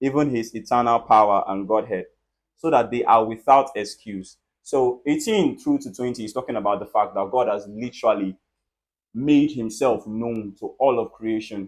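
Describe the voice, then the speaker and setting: Someone speaks in a normal speaking voice. The pace is moderate. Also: man. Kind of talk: casual Bible talk.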